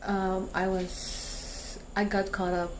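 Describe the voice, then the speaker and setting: Quiet and flat in a monotone, a woman with a fairly low voice speaks amid audible room echo and noticeable background noise. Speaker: vlogger. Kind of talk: vlog outro. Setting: at home. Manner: talking quietly.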